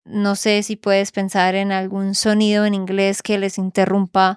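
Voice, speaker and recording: A woman's monotone, flat delivery at a medium pitch and moderate pace, in a Colombian accent, with a dry, close sound with no echo on a very clean recording with a silent background. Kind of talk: podcast interview question.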